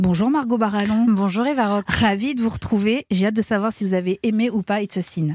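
With an unremarkable speaking voice, a woman talks at a fairly quick pace and fairly high pitch, her loudness very even, her pitch varying in an ordinary way and hardly any pauses in between. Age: 40s. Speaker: podcast host. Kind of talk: scripted narration.

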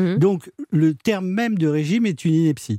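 Dry, close sound with no echo, carrying a dark, mellow tone. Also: man. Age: 60s. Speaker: doctor. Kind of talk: radio talk show.

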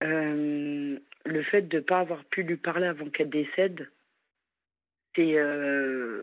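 A woman's very deep, low voice, at a very slow pace with long, frequent pauses and fairly even intonation. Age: 40s. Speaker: social worker, caller. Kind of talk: phone-in confession. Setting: phone call from work.

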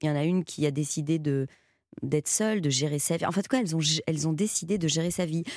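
A woman's very deep, low voice at a moderate pace, with ordinary pitch variation, on a very clean recording with a silent background. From Belgium. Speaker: actress. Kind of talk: radio interview. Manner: halting, with repetitions.

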